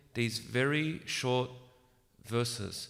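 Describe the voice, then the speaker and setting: A man speaks at medium pitch with ordinary pitch variation. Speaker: religious lecturer. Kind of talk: religious lecture. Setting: room with small audience, echo. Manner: soft-spoken.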